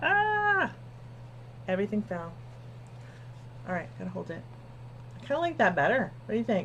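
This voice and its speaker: A woman mumbling at a moderate pace, with long, frequent pauses and noticeable background noise. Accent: American. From New Jersey. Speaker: quilting livestream host. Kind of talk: casual live-stream chat. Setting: live stream. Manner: soft-spoken.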